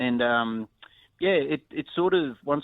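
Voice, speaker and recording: In a strong Australian accent, a man speaks with ordinary pitch variation. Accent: broad Australian. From north Queensland, Australia. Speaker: country musician and producer. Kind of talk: interview. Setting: phone call.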